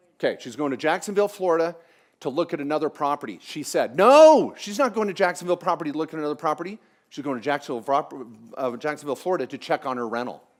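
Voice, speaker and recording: In an American accent, a speaker talks very fast with an animated tone. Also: man, fairly high pitch for a man. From US Pacific Northwest (Washington State). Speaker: tax lawyer, seminar speaker. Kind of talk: seminar talk. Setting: conference room with small live audience.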